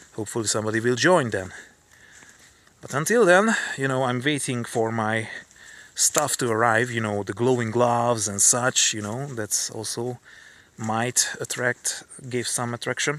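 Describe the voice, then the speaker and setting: A man with a non-native accent talks at a moderate pace and medium pitch, with ordinary pitch variation and long, frequent pauses. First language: not English. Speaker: streamer. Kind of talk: live stream monologue. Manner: halting, many repetitions and fillers.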